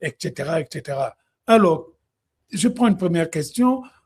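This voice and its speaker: A man with a Congolese accent speaks in a high voice with lively intonation and a dark, mellow tone. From DR Congo. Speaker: music commentator, live streamer. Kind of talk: live stream Q&A. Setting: online live stream.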